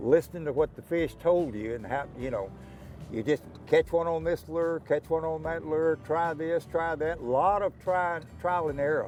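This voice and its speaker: A man with a Texan accent talks at a moderate pace and fairly high pitch while music plays in the background. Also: ordinary pitch variation. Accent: Texan Southern. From Texas Gulf Coast. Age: 80s+. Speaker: professional bass angler. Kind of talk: casual interview. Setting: outdoors at a lake.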